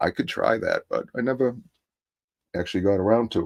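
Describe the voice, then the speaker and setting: With a Massachusetts accent, a man talks at a fairly quick pace in a dry, close sound with no echo. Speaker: hobby painter streamer. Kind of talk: casual livestream tutorial chat. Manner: halting, many fillers.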